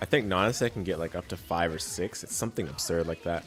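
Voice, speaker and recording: Music plays in the background as a man talks at a fairly quick pace. His voice is very deep and low, with fairly even intonation. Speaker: fighting game commentator. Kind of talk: game analysis commentary. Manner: casual, conversational.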